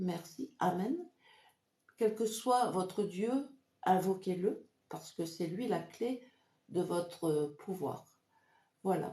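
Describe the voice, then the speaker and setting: A somewhat breathy woman speaks at a very slow pace with long, frequent pauses, her medium-pitched voice dark and mellow in tone with ordinary pitch variation. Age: 60s. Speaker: psychic. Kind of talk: live stream tutorial. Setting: live video stream. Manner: hesitant, many fillers.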